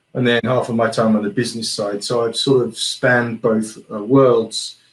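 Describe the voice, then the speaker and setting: A man in a strong British accent, medium pitch, monotone, flat intonation, moderate pace. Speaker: geospatial consultant and founder. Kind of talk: interview.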